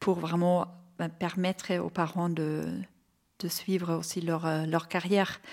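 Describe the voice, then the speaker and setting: Her intonation monotone and flat, a woman speaks at a fairly low pitch. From Bavaria, Germany. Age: 40s. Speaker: entrepreneur, childcare company founder. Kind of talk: interview. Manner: hesitant, with fillers.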